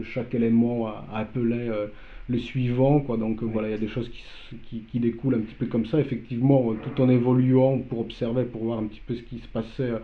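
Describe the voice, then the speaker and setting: Monotone, flat intonation in a Polish accent, with audible room echo. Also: man. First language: Polish (speaking French). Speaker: artist. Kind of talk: interview. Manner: halting.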